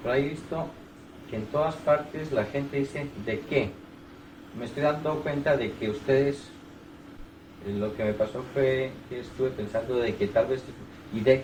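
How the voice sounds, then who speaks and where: With a Colombian accent, a man of medium pitch speaks at a moderate pace with ordinary pitch variation and long, frequent pauses, amid audible room echo. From Bogotá, Colombia. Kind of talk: casual chat. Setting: private home.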